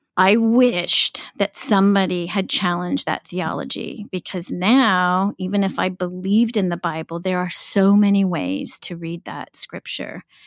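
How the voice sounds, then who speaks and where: A woman with an ordinary speaking voice talks at a moderate pace and medium pitch, with hardly any pauses. The recording is very clean, with a silent background and a dry, close sound with no echo. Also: fairly even intonation. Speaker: podcast co-host. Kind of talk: casual conversational podcast chat.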